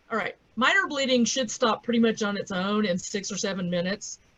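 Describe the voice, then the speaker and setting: Ordinary pitch variation from a woman with an American accent. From US South. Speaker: veterinarian. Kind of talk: lecture.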